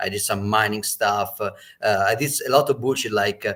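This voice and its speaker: A man speaks with an Italian accent and ordinary pitch variation on a very clean recording with a silent background. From Italy. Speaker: Bitcoin entrepreneur. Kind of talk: casual panel chat.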